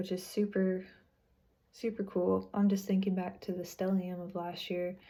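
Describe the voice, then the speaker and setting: The speaker is somewhat breathy, keeping a moderate pace and a flat, monotone intonation. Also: woman. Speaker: astrology and tarot reader. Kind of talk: weekly astrology forecast. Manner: casual, with many filler words.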